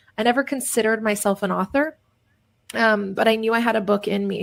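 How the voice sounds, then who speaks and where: On a very clean recording with a silent background, a woman speaks in a fairly high voice with monotone, flat intonation. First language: Polish. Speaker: digital marketing agency founder and author. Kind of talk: interview. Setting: radio show. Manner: casual, filler-heavy.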